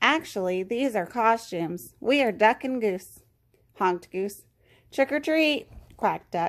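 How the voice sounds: Lively intonation marks a natural reading voice.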